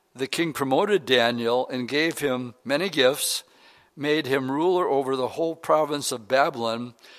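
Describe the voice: This is plain reading aloud. The pitch shows ordinary pitch variation.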